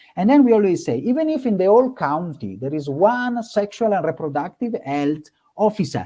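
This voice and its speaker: A man's dark, mellow tone, high-pitched for a man, with very wide pitch swings at a moderate pace. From born in Africa, Italian background. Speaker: nonprofit regional manager. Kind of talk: panel discussion. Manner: halting.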